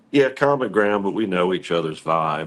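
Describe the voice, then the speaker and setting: This is a man speaking. He has an American accent. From US Midwest, Cincinnati. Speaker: rock singer. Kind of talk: interview. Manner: casual.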